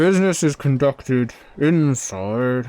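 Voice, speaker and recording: Using a put-on character voice at medium pitch, a man talks fairly slowly with lively intonation. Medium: actual play. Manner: curt, hostile.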